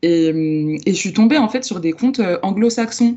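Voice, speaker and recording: The woman speaks at medium pitch with ordinary pitch variation. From France, Lyon. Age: 20s. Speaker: book influencer and book club founder. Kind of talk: podcast interview. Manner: hesitant, many fillers.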